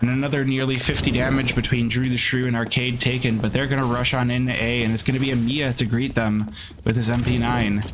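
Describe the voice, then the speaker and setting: A man speaks at a medium pitch and moderate pace with monotone, flat intonation. Audible room echo and noticeable background noise run through the clip. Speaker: esports caster. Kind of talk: live commentary; casual chat. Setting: livestream.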